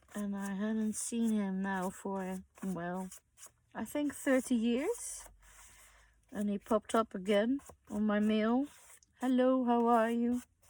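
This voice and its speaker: A woman with a fairly high pitch and dark, mellow tone speaks very slowly with fairly even intonation and long, frequent pauses. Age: 60s. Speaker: crafter. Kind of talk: tutorial. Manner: halting.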